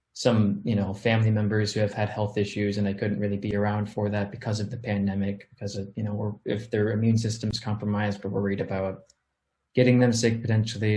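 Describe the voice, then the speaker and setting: Somewhat breathy and dark, mellow in tone, this voice has an American accent, monotone, flat intonation and a fairly quick pace. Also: man. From Missouri, small town (US Midwest/South mix). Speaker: music producer and recording artist. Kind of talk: interview.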